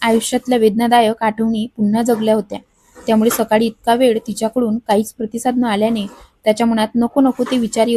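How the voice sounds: Reading done in a natural reading voice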